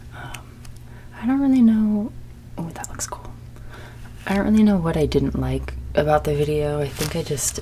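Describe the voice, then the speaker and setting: Quiet and with big swings in loudness, a woman speaks at a moderate pace with long, frequent pauses, amid noticeable background noise and audible room echo. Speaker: ASMR video maker. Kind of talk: ASMR show-and-tell. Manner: trying to speak calm and quiet; naturally energetic, excitable.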